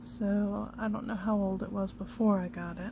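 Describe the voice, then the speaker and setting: Soft-spoken mumbling at a fairly slow pace. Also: woman. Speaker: crafter doing mending. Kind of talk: casual talk while crafting. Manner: mumbling, soft-spoken.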